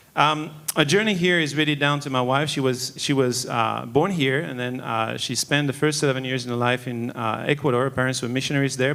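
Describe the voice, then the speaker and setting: A man speaks at a fairly quick pace with a French accent, his medium-pitched voice keeping a fairly even intonation against noticeable background noise. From Monaco, French Riviera. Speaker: church elder. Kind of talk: testimony.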